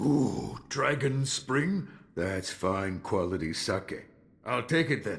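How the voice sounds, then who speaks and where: A man performs a put-on character voice at a medium pitch. He speaks very slowly, with very wide pitch swings. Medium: video game. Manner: slow, reflective.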